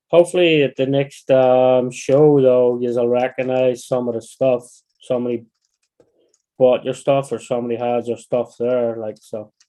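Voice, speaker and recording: The man speaks at a medium pitch in a dark, mellow tone, his intonation monotone and flat. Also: moderate pace. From Northern Ireland, County Down. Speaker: RC hobbyist livestreamer. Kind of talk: casual livestream chat while building. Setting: livestream at workbench. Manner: halting, repeats phrases.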